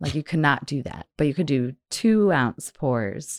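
Fairly slow, animated speech from a woman with lively intonation, on a very clean recording with a silent background and a dry, close sound with no echo. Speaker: brewery sales manager. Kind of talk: casual chat. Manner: animated, joking.

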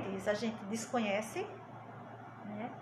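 A woman speaks at a fairly slow pace with ordinary pitch variation. Audible room echo and noticeable background noise fill the recording. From Pernambuco, Brazil (Arcoverde). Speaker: teacher and education trainer. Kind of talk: interview.

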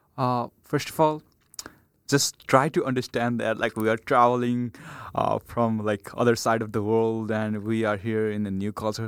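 With a Nepali accent, a man speaks at a moderate pace and medium pitch with fairly even intonation, in a dry, close sound with no echo. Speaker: international student. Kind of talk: roundtable discussion. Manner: halting.

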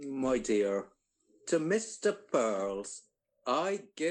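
The text is read aloud in a natural voice, with a quiet background behind it.

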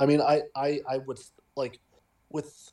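Very clean audio over a silent background, the tone dark and mellow. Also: man. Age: young. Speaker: podcast co-host and literature student. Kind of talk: casual chat.

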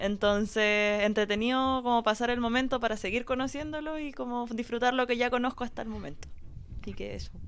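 A woman's high-pitched voice with a Chilean accent, fairly quick pace and fairly even intonation. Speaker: podcast panelist. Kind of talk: live podcast panel chat. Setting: radio studio.

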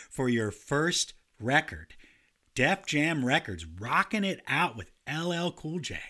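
Speaking very slowly with lively intonation, a man with a fairly high, bright and sharp voice shows vocal fry on a very clean recording with a silent background. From grew up in a city. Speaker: music podcast co-host. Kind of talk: casual chat about music history; reading prepared notes. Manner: animated.

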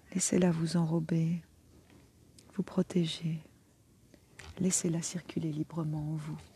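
Speaking very slowly with long, frequent pauses, a woman uses a fairly low pitch and a flat, monotone delivery, her tone gentle and warm and somewhat breathy. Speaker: energy healer and meditation guide. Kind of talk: guided meditation. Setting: outdoors by the water in nature. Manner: slow, soothing, calm; gentle, warm, unhurried with long pauses.

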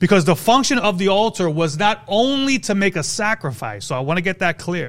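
A man with a high pitch speaks in an animated tone with lively intonation. The recording is very clean, with a silent background. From New York City (Brooklyn). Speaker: preacher or prayer team leader. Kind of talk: sermon / Bible teaching. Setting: church or prayer group gathering. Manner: direct, blunt tone; animated, exhorting.

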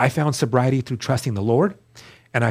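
An unremarkable speaking voice from a man, medium in pitch with ordinary pitch variation, on a very clean recording with a silent background. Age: 40s. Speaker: guest sharing recovery testimony. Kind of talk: testimony.

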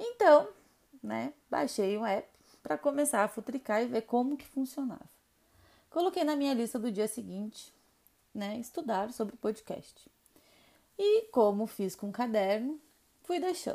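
High-pitched yet dark and mellow in tone, a woman speaks at a fairly slow pace with lively intonation and long, frequent pauses. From Rio Grande do Sul, southern Brazil. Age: 30s. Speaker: podcast host, makeup artist. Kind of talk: personal storytelling monologue.

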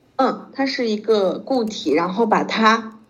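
A woman's fairly high voice carries audible room echo. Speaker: Chinese language tutor. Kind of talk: language lesson. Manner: slow, patient.

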